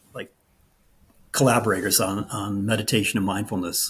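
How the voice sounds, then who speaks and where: This man's voice is somewhat breathy. He speaks at a moderate pace. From New England. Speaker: meditation and yoga teacher. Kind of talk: interview. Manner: halting, many fillers and restarts.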